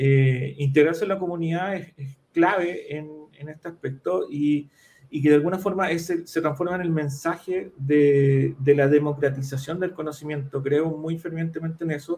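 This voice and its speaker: A dark, mellow tone with fairly even intonation. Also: man, fairly high pitch for a man, moderate pace, big swings in loudness. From Chile, Concepción area. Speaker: data analytics consultant and accountant. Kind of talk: interview. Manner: halting, frequent fillers.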